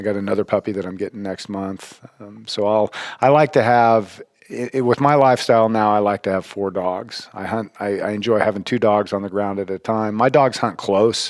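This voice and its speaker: With an American accent, a man speaks at a fairly quick pace in a fairly low pitch with fairly even intonation, and noticeable background noise can be heard. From Colorado. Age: 50s. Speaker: retired hospitality worker and bird hunter. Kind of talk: casual interview chat. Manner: halting, frequent repetitions.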